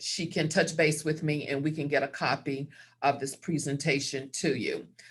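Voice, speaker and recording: In a Southern US accent, a woman with a very deep, low pitch speaks at a fairly slow pace. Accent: Southern American. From US South. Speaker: credit counselor. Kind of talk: webinar presentation. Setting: video call.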